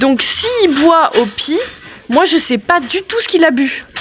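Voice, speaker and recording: There is noticeable background noise while a woman talks. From France, Yonne near Auxerre. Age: 30s. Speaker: goat farmer. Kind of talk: casual Q&A chat. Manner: talkative, explains at length.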